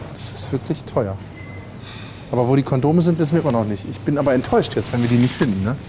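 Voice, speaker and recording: A very fast, lively delivery with long, frequent pauses, noticeable background noise and audible room echo. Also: man, medium pitch for a man. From Lüneburg, northern Germany. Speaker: podcast co-host and teacher. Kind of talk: casual chat. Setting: café and walking around a market hall.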